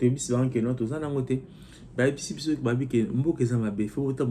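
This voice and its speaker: Speaking at a fairly quick pace, a man uses a medium-pitched, somewhat breathy voice with a dark, mellow tone. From DR Congo. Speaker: political commentary vlogger. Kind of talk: casual political commentary and reading viewer comments.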